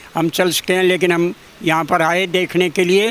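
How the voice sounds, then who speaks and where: Noticeable background noise surrounds a man with a high pitch. His intonation is monotone and flat. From Delhi, Bawana village. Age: 80s+. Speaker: retired headmaster. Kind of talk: interview. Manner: halting.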